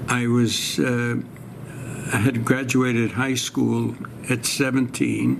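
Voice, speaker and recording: With a New York accent, a man talks at a very slow pace, leaving long, frequent pauses, his loudness very even over noticeable background noise. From New York City (Brooklyn). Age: 90s. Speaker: war veteran. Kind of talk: oral history interview. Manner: halting.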